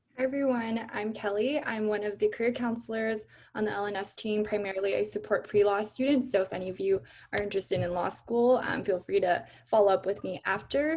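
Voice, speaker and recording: With a plain, everyday voice, a woman speaks in an American accent at a fairly high pitch and fairly quick pace, with ordinary pitch variation. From Los Angeles area, US. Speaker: career counselor. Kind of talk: panel introduction. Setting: video call.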